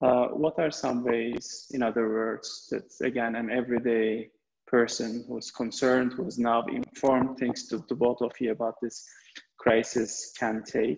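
A man's speech runs at a moderate pace, its intonation fairly even. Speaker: webinar moderator. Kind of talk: webinar moderation. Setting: video call. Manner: halting. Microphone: video call.

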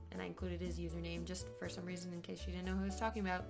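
Over clear background music, a woman talks at a very fast pace in a very deep, low pitch with ordinary pitch variation. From Canada. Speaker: vlogger. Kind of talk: casual storytime talk to camera. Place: home room. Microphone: webcam.

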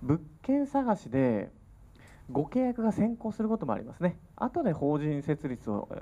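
A man talks at a moderate pace in a high pitch with a dark, mellow tone. His pitch swings very widely. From Kyushu, Miyazaki; Kyushu. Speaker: real estate consultant; seminar lecturer. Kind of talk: seminar lecture. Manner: formal. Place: meeting room. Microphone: handheld.

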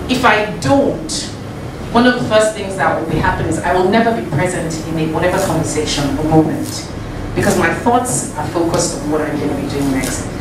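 Female speech with noticeable noise in the background and audible room echo. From Nigeria. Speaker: guest speaker at a bootcamp. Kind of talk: motivational talk to a live audience. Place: meeting room.

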